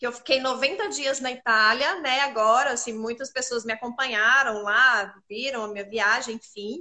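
A woman speaks at a moderate pace with hardly any pauses and ordinary pitch variation. Her high voice has a bright, sharp tone. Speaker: image consultant hosting a live chat. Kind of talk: live online chat. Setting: live stream.

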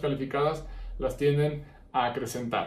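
Somewhat breathy and fairly high-pitched, a man speaks at a moderate pace with audible room echo. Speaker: psychologist and podcast host. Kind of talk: solo podcast monologue. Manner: frequent filler hesitations.

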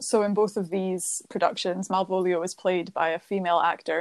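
A woman with a Scottish accent speaks at a moderate pace and medium pitch. The sound is dry and close with no echo, in a very clean recording with a silent background. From Scotland. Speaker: postgraduate student and museum outreach worker. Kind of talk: casual chat.

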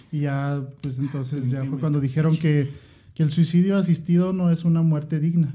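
A man with a Mexican accent speaks at a moderate pace in a fairly high pitch for a man, his dark, mellow tone somewhat breathy and his intonation fairly even. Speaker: podcast co-host. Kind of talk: casual chat.

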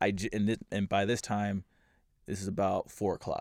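In an American accent, the voice speaks at a moderate pace in a flat monotone on a very clean recording with a silent background. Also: man. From US Midwest, Kansas City and St. Louis, Missouri. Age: 20s. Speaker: DJ and producer. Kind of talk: casual chat.

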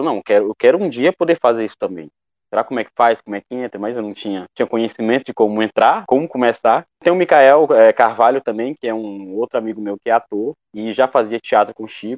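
With lively intonation, an unremarkable speaking voice goes along at a fairly quick clip. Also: man. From Maranhão, Brazil (Coroatá). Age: 20s. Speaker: actor and theatre teacher. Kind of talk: interview testimony.

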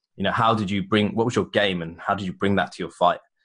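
Fairly low in pitch, a man speaks. He goes at a very fast pace. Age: 20s. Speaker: martial arts coach and gym owner. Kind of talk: casual interview.

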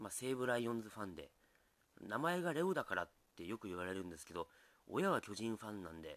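A man at a fairly low pitch and a very fast pace, with very wide pitch swings and big swings in loudness. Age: 40s. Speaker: comedian and musician. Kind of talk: solo podcast monologue. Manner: relaxed, hesitant with fillers.

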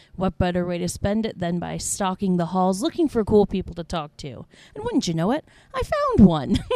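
With an American accent, a woman talks at a medium pitch and ordinary pitch variation. The sound is dry and close with no echo, and there is noticeable background noise. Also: fairly quick pace. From Indiana. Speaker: podcast host. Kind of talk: casual chat. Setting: airport terminal. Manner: laughs often.

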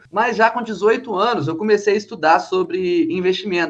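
A man is speaking. His intonation is lively. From Brazil, Minas Gerais (Ubá). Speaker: financial educator. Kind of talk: podcast interview.

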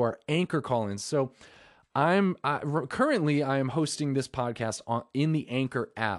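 A man with a normal speaking voice talks at a moderate pace, fairly high in pitch, with ordinary pitch variation. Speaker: podcast host. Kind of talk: casual solo podcast chat. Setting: recording from phone. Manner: rambling, repetitive, informal.

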